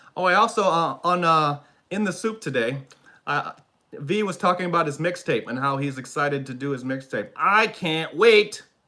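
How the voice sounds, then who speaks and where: Shouting in a high-pitched, bright, sharp tone, a man speaks at a moderate pace with lively intonation and an animated tone. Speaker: YouTube reaction streamer. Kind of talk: live stream chat reading comments. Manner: animated, yells and squeals; sighs a lot.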